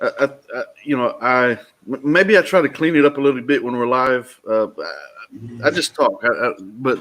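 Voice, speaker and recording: A man with a Texas accent at a moderate pace. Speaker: live show host and debater. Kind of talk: casual chat. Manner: halting, many repeated words.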